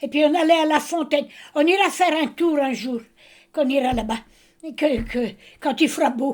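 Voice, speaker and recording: With a high pitch and ordinary pitch variation, a woman speaks at a moderate pace, leaving long, frequent pauses. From Brittany, Morbihan. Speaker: grandmother telling memories. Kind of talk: casual chat. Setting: family meal at home. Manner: hesitant.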